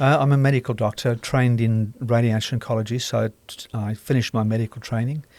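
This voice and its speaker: Speaking at a very fast pace with hardly any pauses, a man with a South African accent keeps a monotone, flat intonation in a very clean recording with a silent background and a dry, close sound with no echo. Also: medium pitch for a man. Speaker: radiation oncologist and author. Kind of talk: casual interview.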